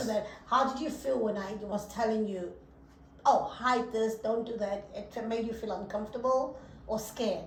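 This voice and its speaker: Her pitch is fairly high, and this woman keeps her intonation fairly even. Noticeable background noise is present. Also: moderate pace. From South Africa. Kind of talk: casual podcast conversation.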